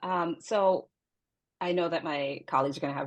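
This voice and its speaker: A woman talks at a fairly quick pace in a normal speaking voice. Her pitch is fairly low, and she has an American accent. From New York, Dominican heritage. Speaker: scientist. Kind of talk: panel discussion.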